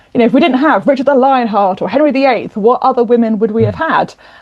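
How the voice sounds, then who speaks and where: A woman speaks in a high voice with a British accent and ordinary pitch variation. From southern England, Kent. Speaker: novelist and historian. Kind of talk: interview. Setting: podcast.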